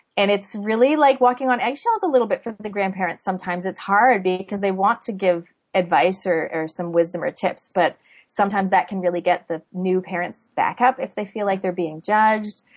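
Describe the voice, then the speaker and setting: A woman with a plain, everyday voice talks at a fairly quick pace and medium pitch, with ordinary pitch variation. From Canada. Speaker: parenting author and podcaster. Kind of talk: interview. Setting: remote call.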